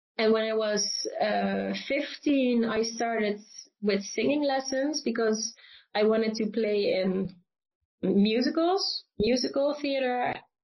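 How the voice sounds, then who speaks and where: The speaker talks very slowly in a Limburg accent. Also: woman, fairly high pitch for a woman, ordinary pitch variation. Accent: Dutch (Limburg) accent in English. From Netherlands, Limburg (south). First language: Dutch. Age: 20s. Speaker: classical singer. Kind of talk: interview conversation. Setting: video call.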